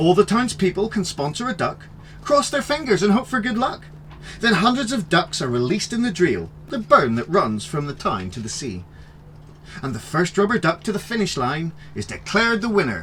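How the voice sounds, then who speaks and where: Noticeable background noise sits behind a high-pitched man speaking at a moderate pace with very wide pitch swings. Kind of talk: children's story reading.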